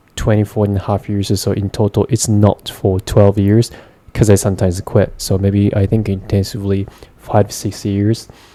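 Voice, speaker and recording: Speaking with a Japanese accent, a man talks in a fairly low pitch. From Japan, Gunma Prefecture. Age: 20s. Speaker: vlogger, English learner. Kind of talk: casual monologue. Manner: halting, many fillers.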